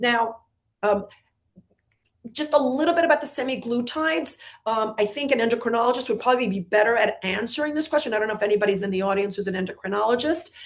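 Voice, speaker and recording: A woman talks at a very fast pace. Her fairly high voice has lively intonation. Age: 60s. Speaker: gynecologist. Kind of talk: webinar Q&A.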